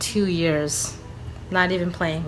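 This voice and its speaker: A woman speaks with faint music in the background. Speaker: beauty vlogger. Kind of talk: casual vlog chat. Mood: relaxed and friendly. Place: home room. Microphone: phone near.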